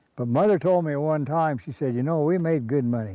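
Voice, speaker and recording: A man in an American accent talks with a dark, mellow tone. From eastern Utah, US. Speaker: rancher. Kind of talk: oral history interview. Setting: outdoors.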